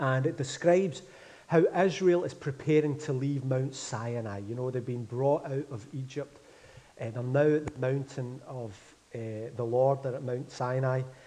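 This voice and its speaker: A man speaks in a Glaswegian accent with a dark, mellow tone. His pace is moderate and his pitch variation ordinary. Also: medium pitch for a man. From Scotland, Glasgow. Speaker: pastor. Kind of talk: sermon. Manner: mumbling.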